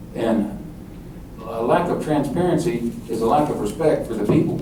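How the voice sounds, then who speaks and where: The intonation is lively. Audible room echo and noticeable background noise are present. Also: man. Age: 60s. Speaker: mayoral candidate. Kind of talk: campaign speech at political forum.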